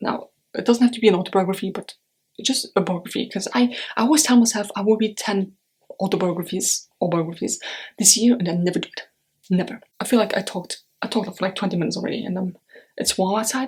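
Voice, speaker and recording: With a German accent, a woman talks at a very fast pace in a somewhat breathy voice with ordinary pitch variation. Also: medium pitch for a woman. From Europe. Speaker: book vlogger. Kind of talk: casual vlog.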